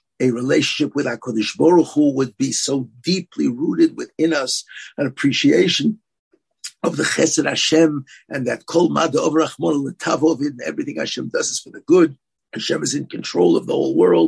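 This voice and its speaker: With an American accent, a man speaks at a moderate pace, his loudness swinging widely in a dry, close recording with no echo. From US, Brooklyn, New York. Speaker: rabbi and yeshiva head. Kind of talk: podcast interview.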